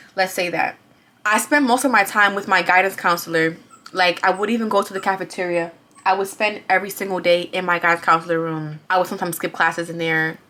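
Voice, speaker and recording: Speaking very fast, a woman with a New York accent sounds animated. Her pitch sits at a medium level. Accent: New York City. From Bronx, New York. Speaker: vlogger. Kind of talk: testimony.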